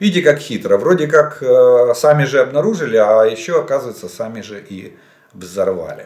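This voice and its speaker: A man speaks at a moderate pace with big swings in loudness. The background is quiet, though there is audible room echo. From Ukraine. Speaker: military analyst, former general staff officer; military-political commentator. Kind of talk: solo video commentary on military situation. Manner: halting, with frequent self-corrections and fillers. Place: home room.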